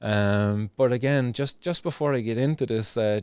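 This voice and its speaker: A man with a Cork accent and a dark, mellow tone. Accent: Irish (Cork). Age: 30s. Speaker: cannabis activist vlogger. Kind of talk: casual video commentary. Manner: halting, many fillers and restarts.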